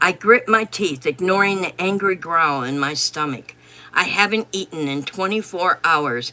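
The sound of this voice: An unforced reading voice carries the clip.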